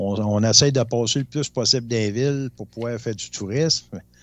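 This man has an unremarkable speaking voice. He talks at a fairly slow pace with ordinary pitch variation. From Abitibi, Quebec. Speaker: co-host. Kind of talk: casual chat.

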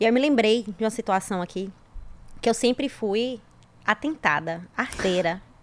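With lively intonation and long, frequent pauses, a woman speaks at a fairly slow pace in a fairly high pitch. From Brazil, interior of Bahia. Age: 30s. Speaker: civil engineer, guest. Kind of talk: casual chat.

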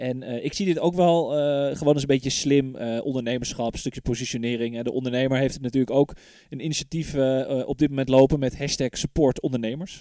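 This man talks at a fairly quick pace in a medium pitch, his dark, mellow tone carried by fairly even intonation. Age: 30s. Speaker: podcast host. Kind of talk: casual chat.

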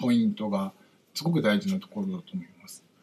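This man talks at a high pitch, his voice swinging very widely up and down. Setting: livestream with viewer comments. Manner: fast.

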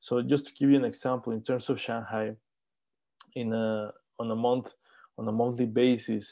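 A man with a Spanish accent speaks at a medium pitch and a moderate pace in a dark, mellow monotone, leaving long, frequent pauses against a quiet background. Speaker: startup country manager. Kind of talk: interview. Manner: halting.

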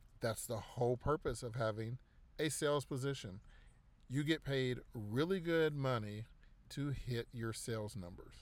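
A man with a plain, everyday voice talks at medium pitch and a moderate pace. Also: ordinary pitch variation. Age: 40s. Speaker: podcast host. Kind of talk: casual monologue. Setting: in a car.

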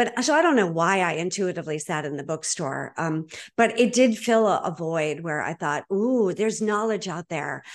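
In an American accent, a woman with an ordinary speaking voice talks at a moderate pace and medium pitch with lively intonation over a quiet background. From Boston, Massachusetts. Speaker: podcast host, divorce coach. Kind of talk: interview conversation.

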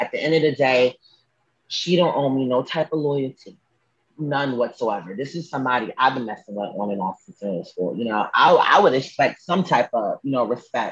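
A man's normal speaking voice, medium in pitch, lively in intonation, at a moderate pace. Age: 20s. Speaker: singer. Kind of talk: casual chat. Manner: casual, with many fillers.

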